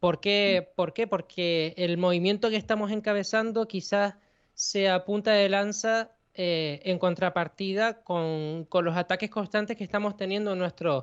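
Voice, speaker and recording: This man has a high pitch and ordinary pitch variation. He talks at a fairly slow pace. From Canary Islands, Spain. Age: young. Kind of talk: interview. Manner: halting, repeats words.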